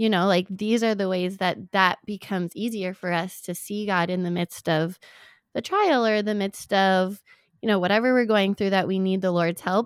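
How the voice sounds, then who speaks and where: A woman with an unremarkable speaking voice, at a moderate pace with fairly even intonation, in a very clean, silent-background recording with a dry, close sound and no echo. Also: medium pitch for a woman. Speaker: podcast co-host. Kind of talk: casual faith conversation.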